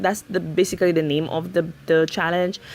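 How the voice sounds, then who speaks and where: A woman speaks with a Saint Lucian accent. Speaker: Sims builder and YouTuber. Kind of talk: casual narration over speed build. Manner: hesitant, many fillers.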